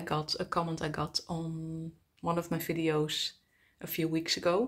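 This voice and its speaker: A woman with a Dutch accent speaks at a fairly low pitch in a monotone, flat intonation. The background is quiet. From Netherlands. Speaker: travel vlogger. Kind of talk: casual vlog monologue. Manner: halting, many fillers. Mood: personal, reflective. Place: home room. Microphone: phone near.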